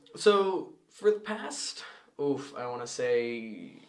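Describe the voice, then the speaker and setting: With an American accent, a man talks in a room with audible echo. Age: 20s. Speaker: podcast co-host. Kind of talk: casual chat.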